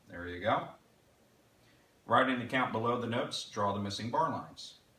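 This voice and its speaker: Speech at a moderate pace with ordinary pitch variation and big swings in loudness, with audible room echo. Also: man, medium pitch for a man. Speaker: music teacher. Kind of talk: tutorial.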